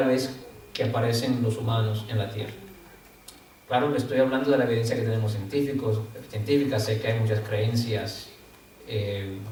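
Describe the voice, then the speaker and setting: Long, frequent pauses break up fairly even intonation, with audible room echo and noticeable background noise. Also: man. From Dominican Republic. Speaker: guest speaker. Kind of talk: lecture. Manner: halting, many fillers; partly reading from notes.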